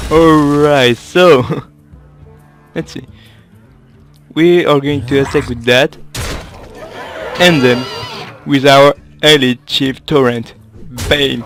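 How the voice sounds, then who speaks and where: A man with a fairly high pitch talks at a very slow pace, with long, frequent pauses. His intonation is fairly even, and music plays in the background. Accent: French. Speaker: gaming video creator. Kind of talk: casual gameplay commentary.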